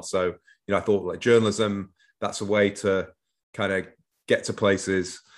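The speaker has an English accent. The background is quiet. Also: man. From northwest England (Manchester). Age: 50s. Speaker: author and former foreign correspondent. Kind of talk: interview. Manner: hesitant, many fillers.

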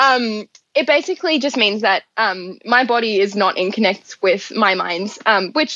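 The speaker is a woman with an Australian accent. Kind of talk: interview.

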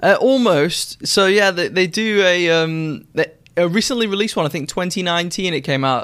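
A speaker with a British accent talks at a moderate pace with ordinary pitch variation. The recording is very clean, with a silent background. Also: man. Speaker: watch reviewer YouTuber. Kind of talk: casual chat.

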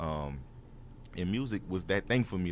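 Lively intonation marks this man's very deep, low voice. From New Orleans, uptown. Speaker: rapper. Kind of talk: casual interview. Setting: studio.

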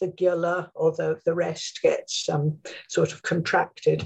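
A woman with an English accent, fairly low in pitch, at a fairly slow pace. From England. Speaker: name studies scholar, dictionary co-author. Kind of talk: interview.

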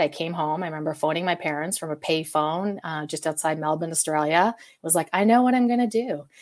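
A woman speaks with a Western Canadian accent at a fairly low pitch, with ordinary pitch variation. The recording is very clean, with a silent background. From Calgary, Canada. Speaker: live event producer. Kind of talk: interview.

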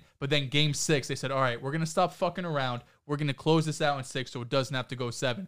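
A fairly high-pitched man at a very fast pace, fairly even in intonation, on a very clean recording with a silent background. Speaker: podcast co-host. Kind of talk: casual sports podcast chat.

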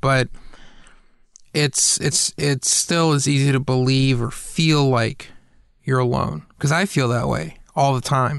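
A plain, everyday voice from a man with an American accent, medium in pitch with ordinary pitch variation, at a fairly slow pace. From US South, Atlanta. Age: 30s. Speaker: podcast host. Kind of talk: casual chat.

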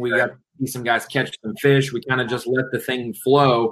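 This man, with a plain, everyday voice, talks at a fairly slow pace. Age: 20s. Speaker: bass fishing commentator. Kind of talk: casual chat. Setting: live stream.

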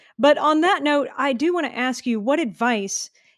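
An unremarkable speaking voice with an American accent keeps a moderate pace and ordinary pitch variation. The sound is dry and close with no echo, in a very clean recording with a silent background. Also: woman. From Texas. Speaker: pet store owner and podcast host. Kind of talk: casual interview; promo reading.

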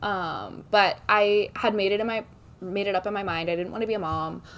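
A normal speaking voice with an American accent and fairly even intonation. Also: woman. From Texas, Dallas. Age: 30s. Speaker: TikTok creator. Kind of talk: casual chat.

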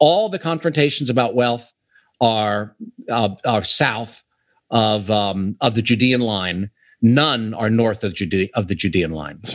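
With an American accent and a plain, everyday voice, a man speaks at a fairly slow pace over a quiet background, at medium pitch with ordinary pitch variation. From US, Pittsburgh. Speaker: author. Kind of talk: interview. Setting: remote call.

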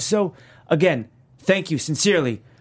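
On a very clean recording with a silent background, a man with an unremarkable speaking voice talks at a moderate pace and a fairly high pitch, with lively intonation. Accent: American. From New York. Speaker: TV after-show co-host. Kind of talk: casual episode recap chat.

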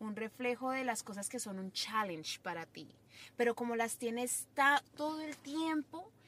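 A woman speaks at a moderate pace with a high pitch and lively intonation. Her loudness swings widely. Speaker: podcast guest, friend of host. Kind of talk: casual chat.

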